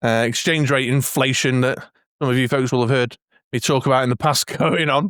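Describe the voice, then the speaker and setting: A man with an English accent talks at a fairly quick pace, his pitch medium. His intonation is fairly even, and the sound is dry and close with no echo. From England. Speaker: collectibles YouTuber. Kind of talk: casual video commentary. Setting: home man cave. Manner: hesitant, many fillers.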